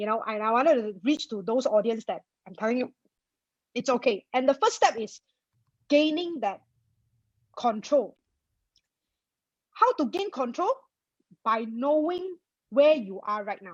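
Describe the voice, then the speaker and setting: A woman with a Malaysian accent, high-pitched and with lively intonation, big swings in loudness and long, frequent pauses, in a dry, close sound with no echo. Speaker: personal finance blogger. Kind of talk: interview. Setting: webinar video call. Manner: fast.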